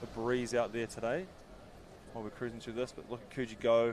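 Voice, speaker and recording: A man with a New Zealand accent talks at a fairly quick pace in a medium pitch. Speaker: sports commentator. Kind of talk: live commentary. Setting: commentary box. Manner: animated.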